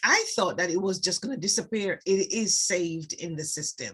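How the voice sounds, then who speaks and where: Here a woman speaks with a Jamaican accent. Her tone is bright and sharp, with ordinary pitch variation. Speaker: beauty products sales rep. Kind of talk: tutorial. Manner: hesitant, many fillers.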